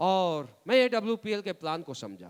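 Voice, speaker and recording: A man's voice is animated, with very wide pitch swings and a bright, sharp tone. The sound is dry and close, with no echo. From Bihar, India. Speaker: motivational speaker, network marketing leader. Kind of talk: motivational speech.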